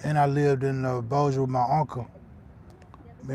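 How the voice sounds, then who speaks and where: Over noticeable background noise, a man with a Louisiana accent speaks at a fairly quick pace with monotone, flat intonation. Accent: Southern US, Louisiana. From northern Louisiana, Shreveport. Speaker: fishing livestreamer. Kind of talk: casual live-stream chat. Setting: outdoors on a fishing pier.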